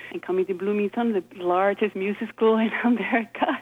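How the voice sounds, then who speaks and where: There is noticeable background noise as a woman talks at a moderate pace, at medium pitch with ordinary pitch variation. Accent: Icelandic. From Iceland. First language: Icelandic. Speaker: violinist. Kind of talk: interview.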